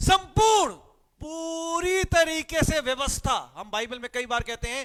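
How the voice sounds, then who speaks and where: A man's voice with a bright, sharp tone. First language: Punjabi (speaking Hindi). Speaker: pastor. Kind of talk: sermon. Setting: live-streamed church service.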